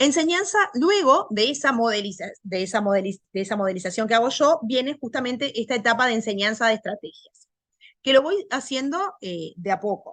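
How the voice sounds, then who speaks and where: A woman with a Uruguayan accent speaks at a fairly high pitch. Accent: Rioplatense Spanish (Uruguayan). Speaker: language teacher. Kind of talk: lecture. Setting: video call. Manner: loud; fast.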